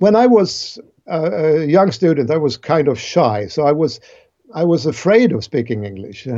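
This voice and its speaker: A man talks with a Swedish accent at a moderate pace. His fairly high pitch swings very widely. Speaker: cognitive science professor. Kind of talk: interview.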